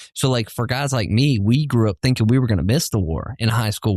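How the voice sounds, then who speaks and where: With a strong Southern US accent, a man talks at a fairly quick pace and medium pitch with ordinary pitch variation, in a dry, close sound with no echo on a very clean recording with a silent background. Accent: heavy Southern country. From US South. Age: 30s. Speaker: podcast host, military veteran. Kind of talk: casual chat.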